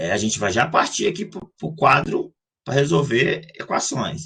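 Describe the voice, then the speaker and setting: This is a man with a fairly high pitch. His voice has vocal fry. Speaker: math teacher. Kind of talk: lecture. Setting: live online class. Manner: fast.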